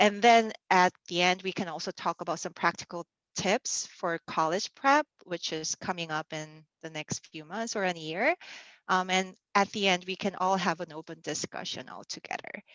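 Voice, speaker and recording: In a Korean accent, a woman speaks at a medium pitch and a moderate pace. Her loudness swings widely while her pitch varies in an ordinary way. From South Korea. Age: 30s. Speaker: church youth mentor. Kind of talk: casual online youth session talk. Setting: video call. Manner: hesitant, many fillers.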